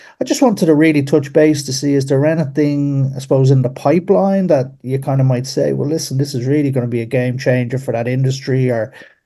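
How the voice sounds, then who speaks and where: A man with an Irish accent speaks at a fairly quick pace. His fairly high-pitched voice has a dark, mellow tone and fairly even intonation. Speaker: caller. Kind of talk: casual chat. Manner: halting.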